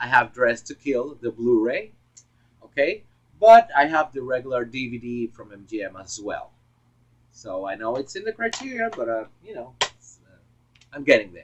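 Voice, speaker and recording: A man with a Puerto Rican accent speaks at a moderate pace in a medium pitch. His intonation is lively and his loudness swings widely. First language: Spanish. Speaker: film collector vlogger. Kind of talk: casual monologue video. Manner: halting, many fillers. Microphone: poor audio, misconfigured external microphone.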